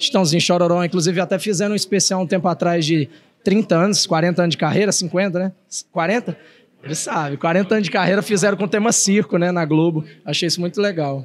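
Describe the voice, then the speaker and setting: A man with a high voice talks at a fairly quick pace. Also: ordinary pitch variation. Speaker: singer-songwriter and circus clown. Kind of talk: casual interview chat. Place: hall. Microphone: handheld.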